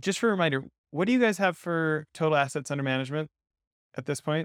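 In a very clean recording with a silent background and a dry, close sound with no echo, a man speaks in an enthusiastic tone with ordinary pitch variation. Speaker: podcast co-host, investment firm founder. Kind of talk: interview conversation.

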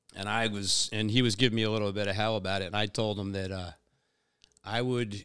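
A man's bright, sharp voice, fairly low in pitch, at a moderate pace with fairly even intonation, in a very clean recording with a silent background. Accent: American. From Long Island, New York. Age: 50s. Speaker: fishing mate and tournament director. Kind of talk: casual interview. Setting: in person.

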